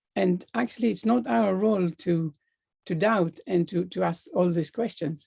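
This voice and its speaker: A woman speaks with a non-native accent at a fairly low pitch. Her tone is dark and mellow, with ordinary pitch variation. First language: not English. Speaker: life coach. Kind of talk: motivational talk.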